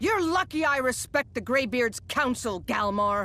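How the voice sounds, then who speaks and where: A female-sounding put-on character voice, high-pitched, at a moderate pace. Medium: video game. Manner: sarcastic, dry.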